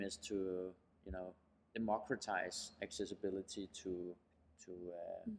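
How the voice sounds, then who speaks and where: In a Danish accent, a man talks at a fairly slow pace. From Denmark, near Copenhagen. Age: 30s. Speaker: startup founder and CEO. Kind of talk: interview. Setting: high-ceilinged room in New York. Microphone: poor sound quality, echo from high ceilings.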